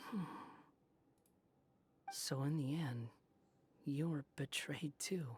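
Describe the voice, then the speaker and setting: In a put-on character voice pitched low-to-middle, the speaker goes very slowly, leaving long, frequent pauses. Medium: video game. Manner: cool, detached.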